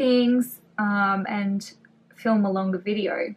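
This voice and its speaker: In an Australian accent, a woman speaks with a somewhat breathy, medium-pitched voice and fairly even intonation. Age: 30s. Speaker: beauty vlogger. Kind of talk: casual chatty makeup tutorial.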